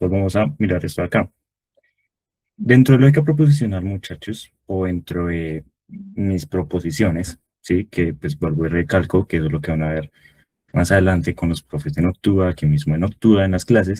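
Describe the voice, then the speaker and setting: A man with a very deep, low voice and a dark, mellow tone speaks with lively intonation in a dry, close sound with no echo. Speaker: tutor. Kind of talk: online review class. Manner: fast.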